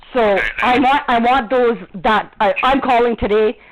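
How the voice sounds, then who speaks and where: Over noticeable background noise, a woman speaks at a fairly slow pace with a high pitch. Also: very even loudness. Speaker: vlogger. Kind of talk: angry rant. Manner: loud; animated.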